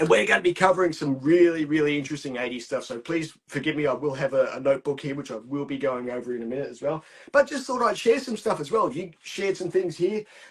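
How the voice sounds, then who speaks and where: Talking at a very fast pace with an Australian accent, a man with a fairly high pitch uses lively intonation and big swings in loudness. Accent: thick Australian. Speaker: podcast guest, film fan. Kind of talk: casual chat. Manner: animated.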